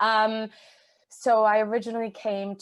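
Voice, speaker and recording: A woman speaks in a strong Canadian accent. The background is quiet. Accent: Canadian, still strong. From Canada. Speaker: charity managing director. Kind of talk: podcast interview.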